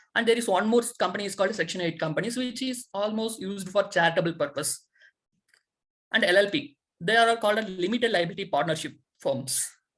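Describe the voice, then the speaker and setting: Somewhat breathy and at medium pitch, a woman talks at a very fast pace with lively intonation. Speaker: accounting tutor. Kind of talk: lecture. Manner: halting.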